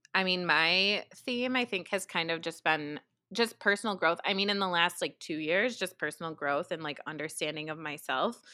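On a very clean recording with a silent background, a woman speaks at a fairly low pitch in a bright, sharp tone. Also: ordinary pitch variation, moderate pace. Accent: American. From New York. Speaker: podcast co-host. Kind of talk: casual chat. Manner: chatty, laughs often.

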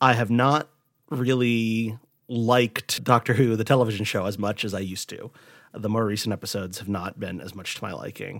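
Recorded very cleanly against a silent background, a man in an ordinary speaking voice talks at a fairly quick pace with medium pitch, ordinary pitch variation and big swings in loudness. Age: 30s. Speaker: podcast co-host. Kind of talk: casual chat.

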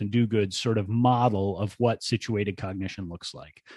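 Over a quiet background, a man uses an ordinary speaking voice at a medium pitch and a moderate pace. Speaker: podcast co-host on learning theory. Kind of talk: casual podcast chat about education.

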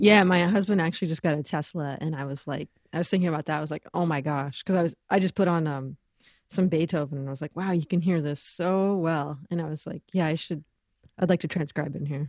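Very fast speech from a woman with an American accent and a very deep, low pitch. The sound is dry and close with no echo, the intonation fairly even, and the background quiet. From Los Angeles, US. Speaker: bassist, singer and educator. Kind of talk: casual interview chat.

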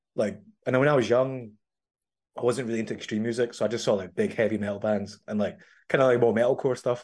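Against a quiet background, a man with a Glaswegian accent speaks very fast in a fairly low pitch, his intonation fairly even. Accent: Glaswegian Scottish. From Scotland. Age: 30s. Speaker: metal musician. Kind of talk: casual interview chat.

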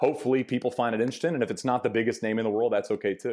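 With an American accent, a man is heard in a very clean recording against a silent background. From Texas. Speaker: golf reporter and TV broadcaster. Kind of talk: casual interview chat.

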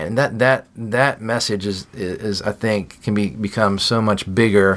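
A man with a plain, everyday voice, fairly low pitch and fairly even intonation. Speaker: food packing ministry director. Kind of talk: casual interview.

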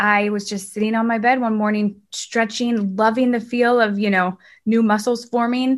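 A woman with an ordinary speaking voice talks at a moderate pace and a fairly high pitch, with fairly even intonation, against a quiet background. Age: 30s. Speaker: TV news reporter and cancer patient. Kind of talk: interview conversation.

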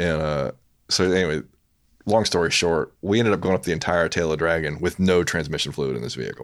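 In a Louisiana accent, the speaker talks at a very fast pace with vocal fry and ordinary pitch variation. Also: man, very deep, low pitch for a man. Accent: Southern US (Louisiana). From US South, Louisiana (Baton Rouge). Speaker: photographer and graphic designer. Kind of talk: casual chat.

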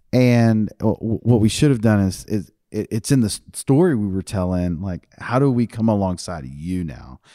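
With an American accent, a man's fairly low, dark, mellow voice moves with lively intonation and hardly any pauses, captured on a very clean recording with a silent background and a dry, close sound with no echo. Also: moderate pace. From Texas, Fort Bend County. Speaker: nonprofit CEO. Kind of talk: interview conversation.

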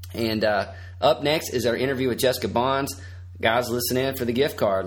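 The man's voice sits at a medium pitch and varies in an ordinary way.

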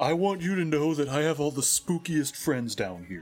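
Using a put-on character voice, a man speaks at a fairly high pitch. His pace is moderate. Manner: goofy, cartoonish.

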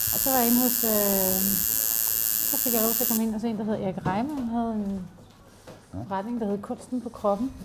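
A woman speaks at a moderate pace with long, frequent pauses, amid noticeable background noise and audible room echo. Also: fairly high pitch for a woman, fairly even intonation. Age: 40s. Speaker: tattoo artist. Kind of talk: casual interview while working. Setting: tattoo studio, lapel mics and iPad. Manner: halting, many fillers and repetitions.

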